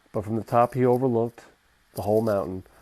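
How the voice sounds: The intonation is fairly even. It comes in a natural reading voice.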